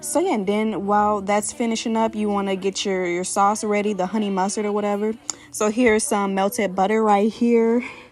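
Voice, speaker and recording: With an American accent and fairly even intonation, a woman talks at a fairly quick pace over noticeable background noise. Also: medium pitch for a woman. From Chicago, South Side. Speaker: cooking channel host. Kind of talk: cooking tutorial. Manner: casual, filler-heavy.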